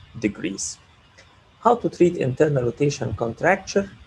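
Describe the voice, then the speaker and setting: A man speaks with a fairly high pitch and a dark, mellow tone. His intonation is lively, and vocal fry runs through it. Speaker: orthopaedic surgeon. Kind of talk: lecture.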